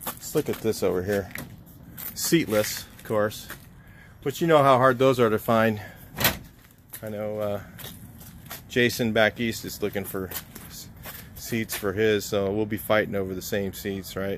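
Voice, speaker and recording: A man speaks at a fairly slow pace and fairly low pitch, with ordinary pitch variation and long, frequent pauses. The sound is dry with no echo, and there is light background noise. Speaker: car restorer vlogger. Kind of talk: casual vlog chat. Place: street. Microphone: phone near.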